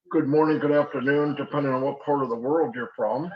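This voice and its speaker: This man has a normal speaking voice with a fairly high pitch. His pitch variation is ordinary. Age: 60s. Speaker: online marketer. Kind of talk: sales pitch. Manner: casual, conversational.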